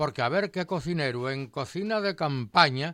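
In a very clean recording with a silent background, a man talks at a fairly slow pace with a bright, sharp tone and lively intonation. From Asturias, Spain (Colunga). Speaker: retired science teacher and food historian. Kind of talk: casual chat. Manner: animated.

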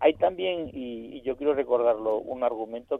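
A man talks at a moderate pace in a normal speaking voice of medium pitch. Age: 50s. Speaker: teacher and panel commentator. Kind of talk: radio panel discussion.

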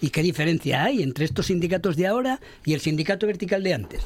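The speaker uses lively intonation at a fairly quick pace. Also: man. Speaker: radio panelist. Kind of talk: panel debate. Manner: animated.

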